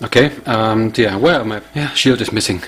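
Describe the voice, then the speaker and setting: Speaking with a German accent, a man keeps a medium pitch and moderate pace amid noticeable background noise. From Germany. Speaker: tech YouTuber. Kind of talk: product review tutorial. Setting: home lab. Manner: casual, halting with fillers.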